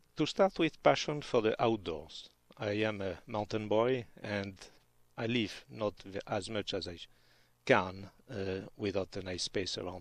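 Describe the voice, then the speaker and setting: With a French accent, the speaker talks at a fairly slow pace, showing big swings in loudness and ordinary pitch variation. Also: man, fairly low pitch for a man. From France, Pyrenees. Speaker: physician. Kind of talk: radio interview. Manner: halting.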